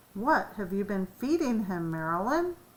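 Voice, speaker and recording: A woman uses a put-on character voice at medium pitch with very wide pitch swings. She keeps a moderate pace. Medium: read story.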